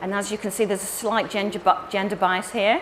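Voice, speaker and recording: In an English accent, a woman talks at a fairly quick pace over noticeable background noise. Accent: English accent, still noticeable. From England. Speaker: marketing company director and conference speaker. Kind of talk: conference talk. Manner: animated.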